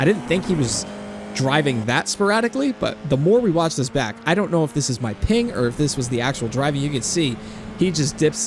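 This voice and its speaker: With lively intonation, the man keeps to a moderate pace. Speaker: sim racing YouTuber. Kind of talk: post-race commentary. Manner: relaxed, chill.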